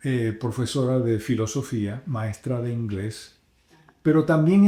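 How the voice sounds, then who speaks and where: With a dark, mellow tone and some breathiness, a man speaks at a very slow pace in a very clean recording with a silent background. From Dominican Republic, Puerto Plata. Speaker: radio announcer and pastor. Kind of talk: interview. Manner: expressive, varied intonation.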